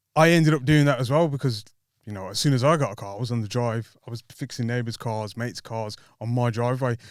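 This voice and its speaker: A man with a Birmingham accent, very fast pace and ordinary pitch variation, in a very clean recording with a silent background. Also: medium pitch for a man. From West Midlands, England (Handsworth, Birmingham). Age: 30s. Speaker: car workshop owner. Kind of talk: casual chat.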